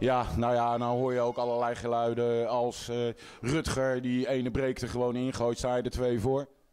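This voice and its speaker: This man's intonation stays monotone and flat. He keeps a medium pitch and a moderate pace. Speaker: sports interviewer. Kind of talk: post-match interview.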